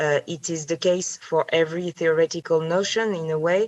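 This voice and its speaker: At a moderate pace, a woman with a French accent talks in a very deep, low pitch with fairly even intonation. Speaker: philosopher. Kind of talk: academic seminar discussion. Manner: halting, many fillers.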